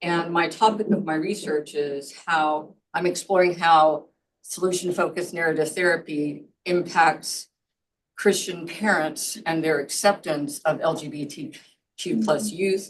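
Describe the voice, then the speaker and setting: Fairly slow speech from a woman in a normal speaking voice, its pitch varying in an ordinary way. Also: fairly low pitch for a woman. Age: 60s. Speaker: doctoral student and counselor. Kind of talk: self-introduction in video call.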